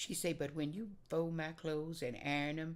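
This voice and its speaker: A woman speaks with a Southern US accent at a very deep, low pitch. Her pace is moderate and her intonation fairly even. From Oklahoma. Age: 80s+. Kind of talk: oral history interview answer.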